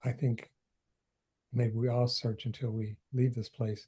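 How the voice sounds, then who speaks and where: In an American accent, a man with a medium-pitched, dark, mellow voice speaks fairly slowly and somewhat breathily, his intonation flat and monotone. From US Midwest, Detroit. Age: 60s. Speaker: author. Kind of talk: interview. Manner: halting, many fillers.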